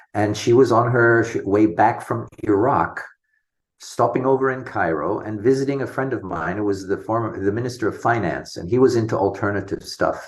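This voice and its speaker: This man's somewhat breathy voice sits at a medium pitch with ordinary variation, moving at a moderate pace. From international schools abroad (Sumatra, Singapore, America). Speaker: homeopath. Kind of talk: interview.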